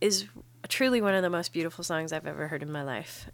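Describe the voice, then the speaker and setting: Lively intonation on a very clean recording with a silent background. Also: woman. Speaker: podcast co-host. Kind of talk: casual chat. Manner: animated, joking.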